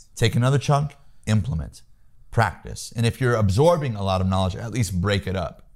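A man's somewhat breathy voice carries lively intonation as he talks at a moderate pace. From US Midwest, Peoria, Illinois. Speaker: sales trainer. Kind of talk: interview, coaching advice. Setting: home office.

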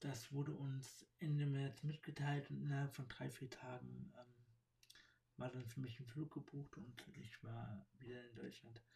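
Fairly slow and somewhat breathy, the man's voice has a dark, mellow tone and fairly even intonation. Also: medium pitch for a man. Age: 30s. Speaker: podcaster. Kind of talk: personal monologue. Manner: halting, many fillers.

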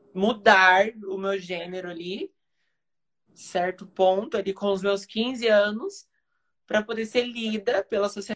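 At a fairly slow pace, a woman with a plain, everyday voice speaks at medium pitch with fairly even intonation. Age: 20s. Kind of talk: casual live conversation, personal testimony.

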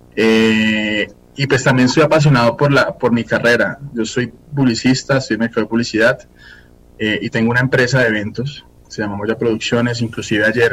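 A man with a plain, everyday voice at a medium pitch, a fairly quick pace and fairly even intonation. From Colombia, Fusagasugá. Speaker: singer-songwriter and advertising professional. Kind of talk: casual interview.

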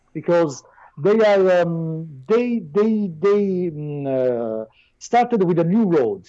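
Speaking very slowly in an Italian accent, a man uses a dark, mellow tone. His pitch swings very widely over a quiet background. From southern Italy. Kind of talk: casual chat. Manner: shy; halting.

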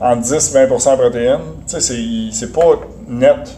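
A man talks at a very slow pace against noticeable background noise. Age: 40s. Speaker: nutrition specialist and strength coach. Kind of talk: interview.

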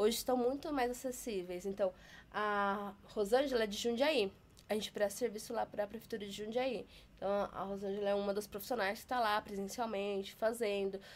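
Speaking at a fairly quick pace, a woman has a plain, everyday voice at medium pitch with fairly even intonation. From Taubaté, São Paulo state, Brazil. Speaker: sign language educator. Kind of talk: interview.

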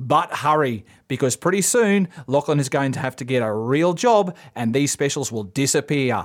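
In a very clean recording with a silent background, a man speaks with an Australian accent. His pitch swings very widely at a moderate pace. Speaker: podcast co-host. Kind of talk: infomercial parody, mock-salesman pitch.

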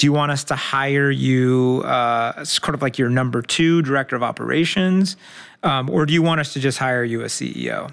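A man at medium pitch with a normal speaking voice, ordinary pitch variation and a moderate pace. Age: 40s. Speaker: entrepreneur. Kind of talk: interview.

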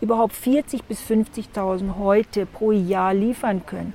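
Her voice is fairly high-pitched with a dark, mellow tone, and this woman talks at a very slow pace. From Namibia, Otjiwarongo. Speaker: crocodile farm owner. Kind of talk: casual interview. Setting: outdoors in a garden.

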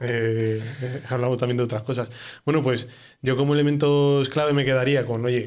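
A man speaking at a fairly slow pace. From Spain, Ávila. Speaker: podcast host. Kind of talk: casual chat.

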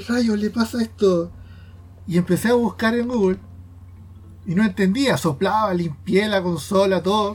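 A man speaks in a high pitch. He leaves long, frequent pauses. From Chile, Quilpué. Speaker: illustrator and podcast co-host. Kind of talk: casual chat. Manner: halting, with fillers.

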